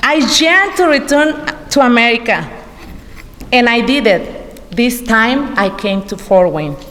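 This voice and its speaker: Mexican accent with very wide pitch swings, a fairly slow pace and long, frequent pauses, plus noticeable background noise and audible room echo. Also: woman, high pitch for a woman. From Mexico, Quintana Roo. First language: Spanish. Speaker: adult education graduate. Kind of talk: graduation speech.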